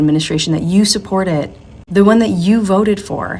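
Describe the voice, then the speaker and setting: A woman talks at a very fast pace with lively intonation over noticeable background noise. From US Midwest, Chicago, Puerto Rican heritage. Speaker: social media commentator. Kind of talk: political commentary rant. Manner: animated.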